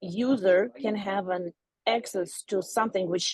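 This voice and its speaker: A woman with a non-native accent speaks at a fairly slow pace and medium pitch, with ordinary pitch variation and a dry, close sound free of echo. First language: not English. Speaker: audience member asking a question. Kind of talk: Q&A question. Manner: halting.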